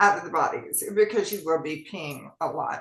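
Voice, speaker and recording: At a moderate pace, a woman talks in a Southern US accent. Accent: US South. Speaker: physician. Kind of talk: health talk show. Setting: online meeting.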